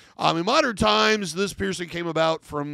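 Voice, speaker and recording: A man is speaking against a quiet background. The sound is dry, with no echo. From US Midwest. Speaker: professional body piercer. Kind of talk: tutorial. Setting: studio. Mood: relaxed, mildly jokey. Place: office. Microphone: studio mic.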